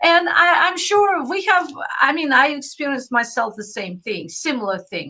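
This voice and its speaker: A woman uses a raised, projected voice with a bright, sharp tone and a high pitch. Her pace is moderate, with very wide pitch swings and big swings in loudness. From Soviet Union (Russia). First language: Russian. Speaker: spiritual mentor and live-show host. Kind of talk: live interview introduction. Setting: online live stream.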